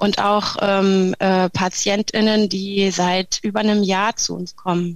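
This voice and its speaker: A woman speaks very slowly at a medium pitch, with hardly any pauses. Her intonation is flat and monotone. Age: 40s. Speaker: speech therapist and breathing therapist. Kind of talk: interview. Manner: hesitant, many fillers.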